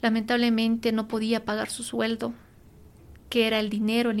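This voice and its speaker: A woman speaks in a flat monotone at a fairly high pitch. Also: very clean recording, silent background. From Bolivia, La Paz. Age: 30s. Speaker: industrial engineer and green entrepreneur. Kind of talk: interview.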